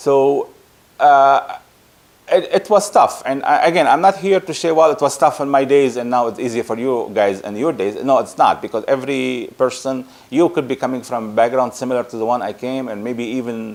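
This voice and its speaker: Over noticeable background noise, a man with a Lebanese accent speaks at a moderate pace, with a medium pitch and ordinary pitch variation. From Lebanon. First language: Arabic. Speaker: project management consultant. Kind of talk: casual talk to camera. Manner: halting.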